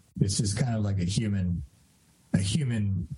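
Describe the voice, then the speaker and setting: A man with a fairly low pitch and a dark, mellow tone sounds somewhat breathy. He keeps a moderate pace with lively intonation. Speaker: podcast host and life coach. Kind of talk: casual interview.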